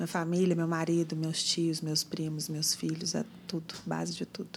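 A woman speaks with a fairly low pitch and a monotone, flat intonation. Her voice is somewhat breathy and her pace fairly slow. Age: 40s. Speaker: marketing executive. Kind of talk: casual interview. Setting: studio.

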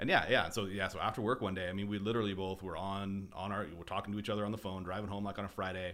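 This man talks with an American accent in a bright, sharp tone, fairly low in pitch. His pace is very fast, with hardly any pauses. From Boise, Idaho (US). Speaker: landscape architecture firm co-owner, salesperson. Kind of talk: casual interview chat. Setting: studio. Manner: animated.

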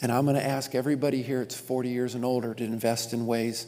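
Through audible room echo, a man with a medium pitch and a dark, mellow tone speaks at a very fast pace in a monotone, flat delivery. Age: 50s. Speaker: pastor. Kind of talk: sermon.

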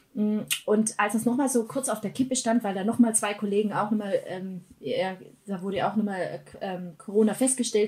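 Noticeable background noise runs under the recording. A woman speaks with fairly even intonation. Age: 30s. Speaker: church worker building family worship initiatives. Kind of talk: casual interview chat.

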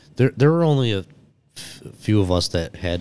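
A man with a Western New York accent talks at a fairly quick pace on a very clean recording with a silent background. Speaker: entrepreneur. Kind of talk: casual chat. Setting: studio.

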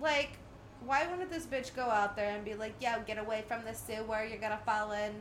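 Recorded with audible room echo, a woman speaks at a fairly high pitch. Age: 30s. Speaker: podcast co-host. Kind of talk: casual film commentary chat.

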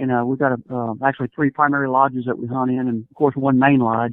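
A man speaks at a medium pitch with a Southern US accent. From US South, Mississippi Gulf Coast. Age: 50s. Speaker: hunting guide and outdoorsman. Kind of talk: casual interview, storytelling.

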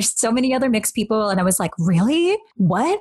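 The woman's words come at a very fast pace. Behind her there is noticeable background noise. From Canada. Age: 30s. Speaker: podcast host. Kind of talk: casual chat.

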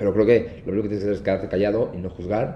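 The voice has a dark, mellow tone. It carries a Mexican accent. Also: man. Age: 20s. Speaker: wedding videographer and entrepreneur. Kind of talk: casual interview chat.

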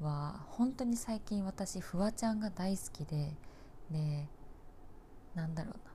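Audible room echo around a woman's moderately paced speech. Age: 20s. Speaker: nurse and podcast host. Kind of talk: casual solo monologue. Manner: halting, many fillers and pauses.

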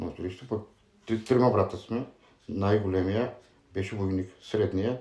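A man's dark, mellow tone, somewhat breathy and fairly low in pitch, with ordinary pitch variation at a moderate pace. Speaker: former thief, interviewee. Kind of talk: interview.

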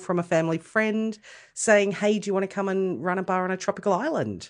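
Against a quiet background, a woman with an Australian accent speaks at a medium pitch with fairly even intonation. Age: 40s. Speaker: podcast guest. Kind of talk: casual chat.

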